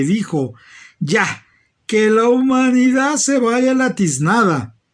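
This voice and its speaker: A man with a Mexican accent at a very slow pace, with very wide pitch swings, against a quiet background. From Mexico City. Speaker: retired doctor, oral storyteller. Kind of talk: bedtime story telling, folk tale. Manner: playful, expressive.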